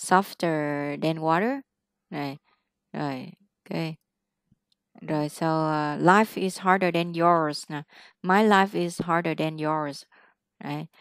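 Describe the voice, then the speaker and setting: A woman's fairly low-pitched voice at a very slow pace, with ordinary pitch variation, big swings in loudness, long, frequent pauses, a dry sound with no echo and a quiet background. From Vietnam. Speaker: English teacher. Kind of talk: one-on-one English lesson. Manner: animated. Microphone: webcam.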